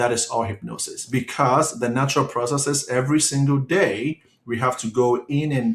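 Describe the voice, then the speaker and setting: A somewhat breathy man talks at a fairly slow pace with fairly even intonation. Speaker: hypnotist giving a quit-smoking webinar. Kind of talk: online webinar presentation.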